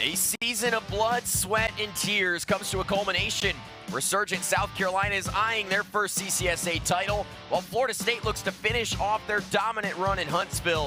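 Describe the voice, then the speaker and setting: With music in the background, a raised, projected voice moves at a fairly quick pace, its loudness very even and its intonation fairly even. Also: man, high pitch for a man. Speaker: sports play-by-play broadcaster. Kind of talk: live sports play-by-play commentary.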